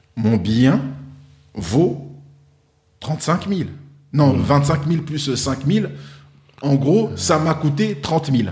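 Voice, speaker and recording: Over music in the background and audible room echo, a man with a fairly high pitch and lively intonation speaks at a very slow pace with long, frequent pauses. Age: 40s. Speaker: wealth management advisor. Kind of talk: interview.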